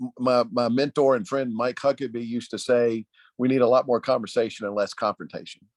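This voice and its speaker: A man with a Tennessee accent speaks at a medium pitch. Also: dry, close sound with no echo, quiet background. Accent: Southern US (Tennessee). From Nashville, Tennessee. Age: 50s. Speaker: political consultant. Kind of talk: panel discussion.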